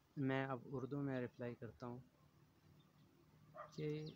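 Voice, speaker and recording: An ordinary speaking voice from a man, medium in pitch, with fairly even intonation, light background noise and a dry, echo-free sound. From Pakistan, Khyber Pakhtunkhwa, Tor Ghar; Khyber Pakhtunkhwa, Pakistan. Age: 30s. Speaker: local storyteller. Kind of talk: personal testimony. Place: garden. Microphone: phone near.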